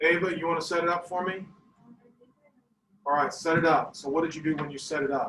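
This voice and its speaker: Loud speech at a very fast pace breaks into long, frequent pauses, with audible room echo around it. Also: man, high pitch for a man. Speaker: math teacher. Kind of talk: classroom lesson. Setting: classroom. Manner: animated.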